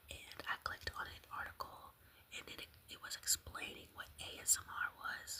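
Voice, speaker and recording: Noticeable background noise accompanies a woman whispering at a moderate speed. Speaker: ASMR content creator. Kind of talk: casual talk to camera, ASMR ramble.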